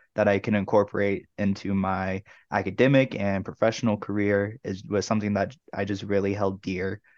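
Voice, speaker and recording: With an American accent, a man talks at a fairly low pitch in a dry, close sound with no echo over a quiet background. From Tucson, Arizona. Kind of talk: interview.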